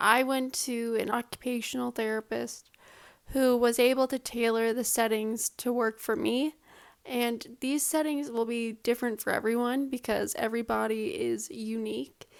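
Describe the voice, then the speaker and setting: This woman has an unremarkable speaking voice at a fairly high pitch. She keeps a moderate pace and fairly even intonation. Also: very clean recording, silent background. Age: 20s. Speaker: video blogger with motor neuron disease. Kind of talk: tutorial.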